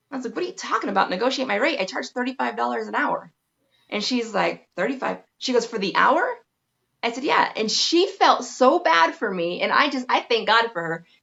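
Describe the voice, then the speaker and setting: Her voice shows vocal fry and sits fairly high, with very wide pitch swings as the woman talks at a fairly quick pace. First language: Spanish. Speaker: massage therapist, branding expert. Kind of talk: interview.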